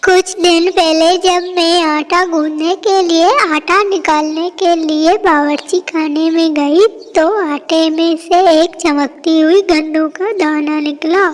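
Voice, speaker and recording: A cartoonish character voice, female-sounding and extremely high in pitch, with hardly any pauses over light background noise. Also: fairly slow pace. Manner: earnest, worried.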